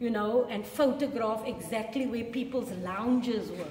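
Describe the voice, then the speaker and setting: There is noticeable background noise and audible room echo as a woman talks at a fairly slow pace with a high pitch and ordinary pitch variation. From South Africa. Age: 60s. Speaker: museum educator. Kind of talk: guided tour talk. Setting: museum.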